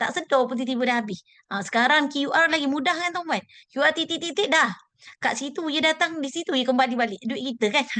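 Raised and projected, a woman's voice sits high in pitch with a bright, sharp tone. She moves at a fairly quick pace with ordinary pitch variation. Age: 40s. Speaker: gold savings dealer. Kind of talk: motivational talk. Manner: halting.

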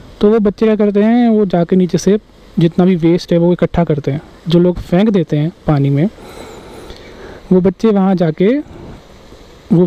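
The man's voice sits high in pitch, with ordinary pitch variation. He talks at a moderate pace.

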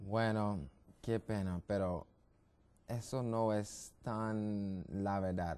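Using an American accent, a man speaks at a very slow pace with long, frequent pauses. His fairly low voice has a dark, mellow tone and fairly even intonation. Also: very even loudness. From US, Brooklyn, New York; New York. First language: English (speaking Spanish). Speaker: medical missionary, health educator; guest. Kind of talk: TV health interview; interview answer. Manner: halting, many fillers and repetitions. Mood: friendly, smiling, explanatory. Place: studio. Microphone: lapel.

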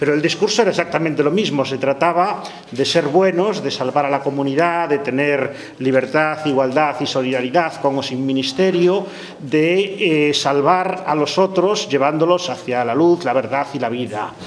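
A man's fairly quick, fairly high-pitched talk, with ordinary pitch variation, hardly any pauses and noticeable background noise. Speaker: professor. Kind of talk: panel discussion. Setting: stage with audience.

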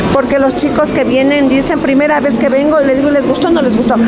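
A woman talking at a fairly quick pace, with crowd noise in the background. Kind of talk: interview answer. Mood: warm, proud. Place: market. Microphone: handheld.

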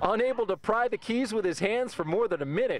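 A man speaks with a high pitch and very wide pitch swings. The sound is dry with no echo, with light background noise. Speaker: TV news reporter. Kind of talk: TV news report.

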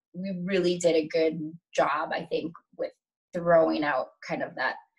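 A woman's voice with an American accent against a quiet background. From Metro-Detroit, Michigan. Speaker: dancer and showgirl. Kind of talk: interview answer. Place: home room. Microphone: webcam.

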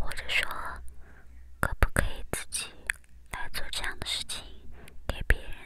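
A woman whispers. Her loudness rises and falls sharply. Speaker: ASMR content creator. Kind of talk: ASMR whisper chat to camera. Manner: whispered, soft-spoken, slow. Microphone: studio mic.

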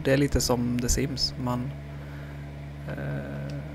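A soft-spoken man with a medium-pitched voice and very wide pitch swings. Noticeable background noise and audible room echo fill the recording. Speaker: gaming YouTuber. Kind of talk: let's play commentary. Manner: halting.

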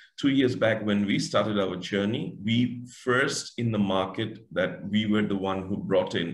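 A man talks at a fairly slow pace against a quiet background. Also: ordinary pitch variation. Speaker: guest. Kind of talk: interview answer. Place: home room. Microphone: video call.

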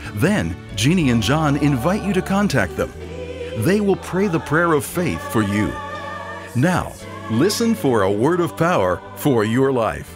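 The pace is fairly slow. Clear music is heard in the background. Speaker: broadcast announcer. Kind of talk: radio program introduction. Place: studio. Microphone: studio mic.

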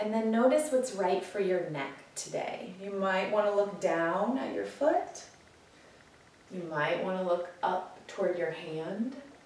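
Lively intonation marks a woman's speech, with audible room echo around it. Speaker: yoga teacher. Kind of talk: guided chair yoga class with a calming meditation. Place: home room. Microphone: camera far.

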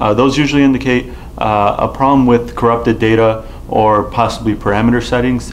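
Over light background noise, a man speaks at a fairly quick pace with monotone, flat intonation and very even loudness. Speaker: presenter. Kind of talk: tutorial. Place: studio.

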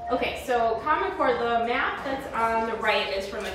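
A woman speaks fairly slowly while noticeable background noise and audible room echo surround her. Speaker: presenter. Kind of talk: lecture. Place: classroom. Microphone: camera far.

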